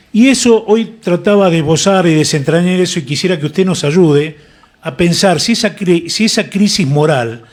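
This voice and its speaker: Here a man speaks with a high pitch. His delivery is fairly slow, with lively intonation. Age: 60s. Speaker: radio host, former uniformed serviceman. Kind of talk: radio interview.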